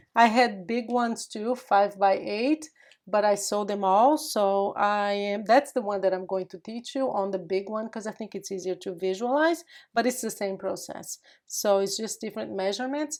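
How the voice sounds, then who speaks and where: Speech moves at a moderate pace. The pitch shows ordinary variation. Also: woman, medium pitch for a woman. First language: Portuguese. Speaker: craft youtuber. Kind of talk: tutorial. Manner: casual, chatty.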